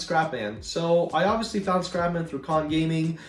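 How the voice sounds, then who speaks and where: At a moderate pace, a man with a fairly high pitch speaks amid audible room echo and noticeable background noise. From Ukraine, then Canada (southern Ontario). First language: Russian or Ukrainian. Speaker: gaming YouTuber. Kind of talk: Q&A video, casual talk to viewers. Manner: casual, many fillers and hesitations.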